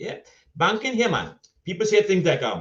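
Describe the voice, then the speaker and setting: A man in a Caribbean accent with vocal fry and lively intonation. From Trinidad and Tobago. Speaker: storyteller and social commentator. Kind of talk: humorous conference speech. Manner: witty, eloquent.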